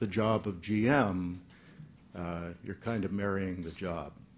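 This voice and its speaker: In an American accent, a man speaks at a fairly low pitch, with audible room echo around him. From Southern California (West Covina). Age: 60s. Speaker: retiring baseball general manager. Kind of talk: press conference farewell speech. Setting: press conference. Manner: halting, many fillers.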